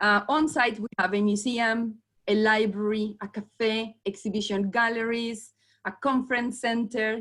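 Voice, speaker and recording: In a strong Colombian accent, a woman talks at a fairly high pitch and fairly slow pace, her intonation flat and monotone. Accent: thick Colombian Spanish. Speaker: venue sales manager. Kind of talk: presentation on video call. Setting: video call.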